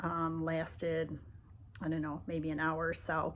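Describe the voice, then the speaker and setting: A woman's voice, pitched fairly low, moves along at a moderate pace. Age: 60s. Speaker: patient. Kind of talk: testimony. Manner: hesitant with fillers.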